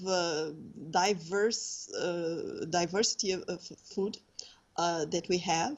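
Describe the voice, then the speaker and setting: With a Portuguese accent, a woman speaks very slowly at medium pitch and with fairly even intonation. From Portugal. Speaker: landscape architect, patient advocate. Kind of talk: interview. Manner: halting.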